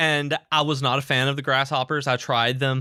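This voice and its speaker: Bright and sharp in tone, a man with a Southern US accent speaks at medium pitch and a fairly quick pace. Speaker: podcast co-host. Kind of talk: casual chat. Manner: animated.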